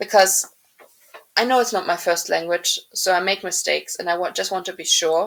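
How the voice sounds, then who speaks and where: A woman at medium pitch talks with fairly even intonation in a German accent. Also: moderate pace. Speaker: podcast co-host, writer. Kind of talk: casual chat. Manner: halting.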